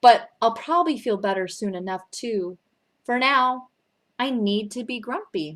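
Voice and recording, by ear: A quiet background sits behind someone reading aloud in a natural voice.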